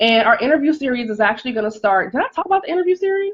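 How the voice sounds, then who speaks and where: With very wide swings in pitch, a woman speaks in an animated tone. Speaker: faith-based life coach. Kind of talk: livestream motivational talk. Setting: live video stream. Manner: fast.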